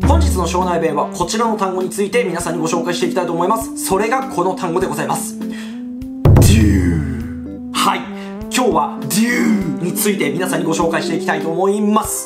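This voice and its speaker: Behind the voice, music plays clearly. The man's delivery moves at a fairly quick pace. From Shonai, Yamagata, Japan. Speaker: YouTuber. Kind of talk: dialect lesson talk to camera. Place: home room.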